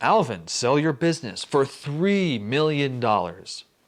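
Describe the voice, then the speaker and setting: Putting on a booming character voice, a man speaks at a fairly slow pace with a fairly high pitch and very wide pitch swings. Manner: commanding.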